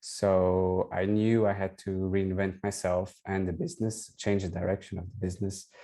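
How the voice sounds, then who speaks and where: A man speaks with a Portuguese accent at a moderate pace against a quiet background. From Portugal. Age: 40s. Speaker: digital consultant and designer. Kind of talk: testimonial interview. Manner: hesitant, with fillers.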